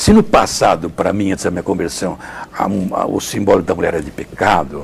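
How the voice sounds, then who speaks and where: A man speaks at a moderate pace in a fairly low pitch. Noticeable background noise runs underneath. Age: 70s. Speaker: friar and retreat preacher. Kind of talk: interview testimony.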